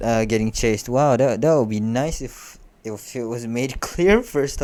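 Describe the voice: The voice is plain reading aloud, with lively intonation.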